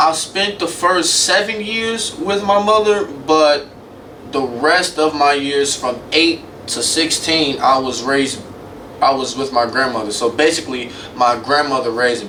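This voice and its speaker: Lively intonation marks this man's fairly high voice as he talks at a fairly slow pace. Audible room echo and noticeable background noise fill the recording. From Chicago South Side, US Midwest. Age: 20s. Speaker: media student podcaster. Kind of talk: solo podcast monologue. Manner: casual, conversational.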